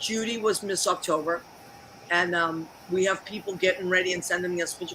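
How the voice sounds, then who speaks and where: A woman speaks at a moderate pace with medium pitch and ordinary pitch variation, with noticeable background noise behind her. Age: 60s. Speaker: talk show host. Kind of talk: casual chat. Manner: animated.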